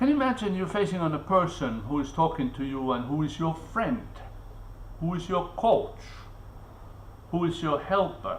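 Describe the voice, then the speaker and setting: With a non-native accent, a man speaks at a moderate pace in a high voice with very wide pitch swings, long, frequent pauses, and audible room echo. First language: not English. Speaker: vlogger. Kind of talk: live stream monologue. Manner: halting, with many fillers and repetitions.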